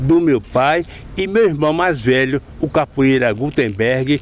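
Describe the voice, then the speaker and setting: A man talks very slowly, with a medium pitch that varies in an ordinary way. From Bahia, Recôncavo (Santo Amaro). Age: 60s. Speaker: capoeira master. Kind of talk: interview.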